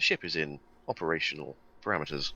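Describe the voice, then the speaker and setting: In a put-on character voice, a man talks at a very fast pace with a robotic sound and a very deep, low pitch. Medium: actual play. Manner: flat, informational.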